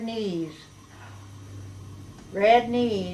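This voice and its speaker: A woman with an Upper Midwest accent. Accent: Upper Midwest American. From Clinton, Wisconsin. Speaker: local historical society founder. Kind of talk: oral history interview answer.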